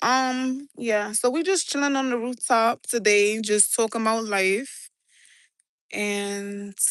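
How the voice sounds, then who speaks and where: At a very slow pace, a woman with a New York accent speaks at a fairly high pitch with ordinary pitch variation. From New York City (Brooklyn/South Bronx). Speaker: livestreamer. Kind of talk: casual livestream chat. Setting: outdoors on a rooftop.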